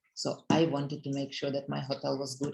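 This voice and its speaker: In a Russian accent, a woman speaks at a moderate pace with a very deep, low pitch. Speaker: network marketing leader. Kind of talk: motivational talk. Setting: conference call.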